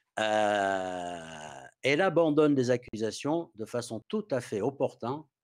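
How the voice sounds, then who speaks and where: Lively intonation marks a man's very slow speech against a quiet background. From Australia. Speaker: activist and citizen journalist; guest. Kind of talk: talk; lecture. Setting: video call.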